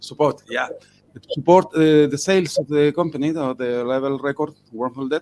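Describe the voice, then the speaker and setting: With a Spanish accent, a man speaks at a moderate pace. His voice is fairly high and his intonation fairly even. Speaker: rock musician. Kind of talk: interview. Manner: halting.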